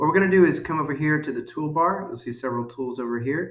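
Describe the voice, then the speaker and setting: At a fairly quick pace, a man talks over noticeable background noise. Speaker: school teacher. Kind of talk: tutorial. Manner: fast.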